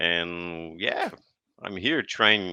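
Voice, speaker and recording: Speaking with a Brazilian accent, a man uses a very deep, low pitch. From Brazil, Paraná state. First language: Portuguese. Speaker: podcast guest. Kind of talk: interview.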